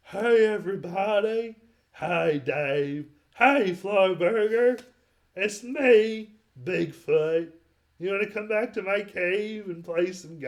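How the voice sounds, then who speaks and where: A put-on character voice at a very slow pace, with big swings in loudness. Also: man, high pitch for a man. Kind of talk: casual, inviting. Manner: goofy, playful.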